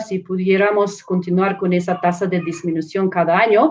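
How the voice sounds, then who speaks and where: A woman with a non-native accent. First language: not Spanish (speaking Spanish). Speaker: professor and researcher. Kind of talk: panel presentation. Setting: live online stream. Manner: halting, with fillers and self-corrections.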